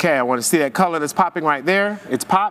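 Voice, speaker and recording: A man talks in an animated tone at a very fast pace and a high pitch. His pitch variation is ordinary, with noticeable background noise behind him. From Haiti. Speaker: hairstylist and educator. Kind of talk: live hair demonstration class. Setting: live-streamed virtual hair show. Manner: high-energy, animated.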